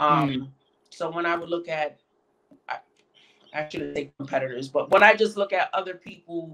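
Here a woman talks at a moderate pace with a fairly low pitch. Her pitch varies in an ordinary way. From Connecticut. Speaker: nail artist and educator; interview guest. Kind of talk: interview. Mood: calm, reflective. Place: home room. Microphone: video call.

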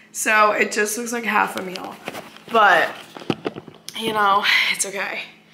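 Over noticeable background noise and audible room echo, a woman speaks at a fairly slow pace with monotone, flat intonation. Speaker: vlogger. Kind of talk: casual vlog talk.

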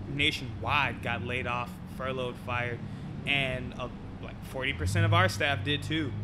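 A man's fairly slow speech comes through noticeable background noise. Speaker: podcast guest. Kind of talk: interview answer. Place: cafe. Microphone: studio mic.

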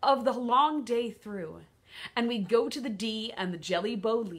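Someone reads aloud in a natural voice.

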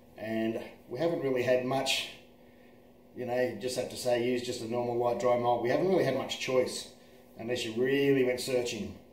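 A man talks with fairly even intonation. Audible room echo and light background noise sit behind him. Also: moderate pace. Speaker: presenter. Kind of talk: casual product tutorial. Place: kitchen. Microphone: phone near.

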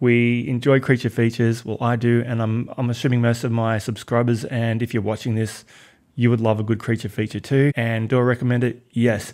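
Over a quiet background, a man with an Australian accent talks at a fairly quick pace. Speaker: film reviewer. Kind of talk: casual video review monologue. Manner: animated. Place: home room. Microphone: studio mic.

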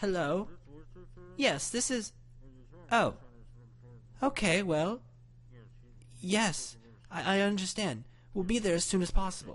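A man's high, fairly bright put-on character voice, slow and full of long, frequent pauses, with lively intonation.

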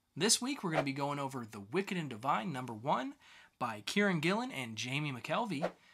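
At a fairly quick pace, a man speaks with a fairly high pitch, a fairly bright tone, and big pitch swings.

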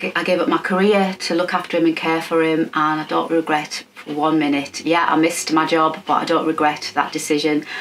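A woman's very deep, low voice with an English accent, monotone and flat, at a fairly quick pace with hardly any pauses, over light background noise. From England. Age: 50s. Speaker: sewing YouTuber. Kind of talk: personal vlog update. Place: home room.

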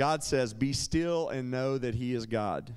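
The speech moves at a fairly slow pace with ordinary pitch variation. The background is quiet. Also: man. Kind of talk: personal testimony. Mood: earnest, reflective, occasionally smiling. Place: church. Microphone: handheld.

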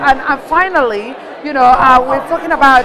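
A woman talks in a high voice with lively intonation. Crowd noise carries in the background. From Kenya. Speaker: TV presenter. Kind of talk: on-location interview. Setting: convention hall, on location. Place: hall.

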